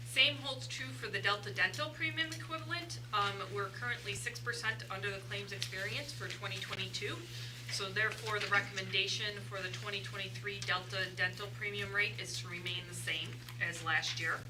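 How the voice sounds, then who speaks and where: There is audible room echo and noticeable background noise as a woman speaks at a fairly quick pace. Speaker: staff member presenting insurance rates. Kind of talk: board meeting presentation. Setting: meeting room with microphone. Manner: loud.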